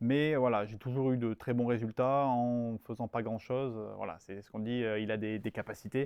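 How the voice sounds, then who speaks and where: A man with a medium pitch talks at a moderate pace, his intonation fairly even. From southern France, Nice area and Var. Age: 20s. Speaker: strategy consultant. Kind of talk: interview. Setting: studio. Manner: hesitant, many fillers and repetitions.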